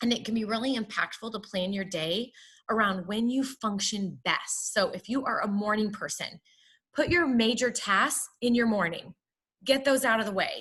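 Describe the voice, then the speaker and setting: A woman is speaking. Her pitch is fairly high, with ordinary variation. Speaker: wellness speaker. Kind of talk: webinar presentation. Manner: fast.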